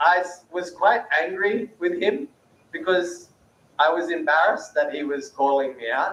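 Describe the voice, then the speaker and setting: Speaking at a fairly slow pace, a man uses a high-pitched voice with a bright, sharp tone. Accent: Australian. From Australia. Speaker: peace-building speaker. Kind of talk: panel talk.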